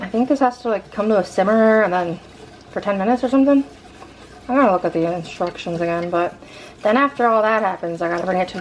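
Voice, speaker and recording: A woman talking at a very fast pace with lively intonation, amid noticeable background noise. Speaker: vlogger. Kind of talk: casual vlog.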